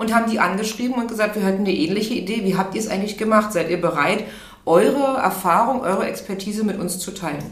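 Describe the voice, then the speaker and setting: A woman with a medium pitch speaks at a very fast pace with ordinary pitch variation, over noticeable background noise and audible room echo. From Berlin, Germany. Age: 40s. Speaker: HR manager. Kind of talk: interview. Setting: studio, in person.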